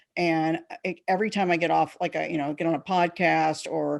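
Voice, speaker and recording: The voice carries vocal fry. The background is quiet. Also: woman. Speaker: marketing expert and author. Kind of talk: interview. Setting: podcast interview.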